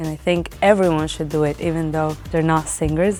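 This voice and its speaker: Music underneath a woman's moderately paced speech. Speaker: singer. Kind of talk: interview answer.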